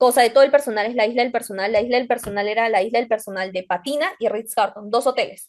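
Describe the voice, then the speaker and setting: Against a quiet background, a high-pitched woman speaks at a very fast pace. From Peru. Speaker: hospitality student. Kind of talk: casual interview chat. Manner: animated, halting with fillers.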